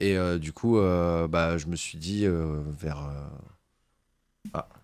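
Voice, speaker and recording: The voice moves at a very slow pace, with audible room echo around it. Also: man, very deep, low pitch for a man, fairly even intonation. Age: 30s. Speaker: YouTuber on aviation and space history. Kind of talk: podcast interview. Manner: hesitant, many fillers.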